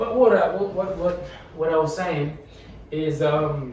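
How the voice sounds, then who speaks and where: Amid noticeable background noise and audible room echo, a man speaks at a fairly slow pace in a high pitch. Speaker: podcast co-host. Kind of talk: casual chat. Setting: podcast recording with camera. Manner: halting, many repetitions.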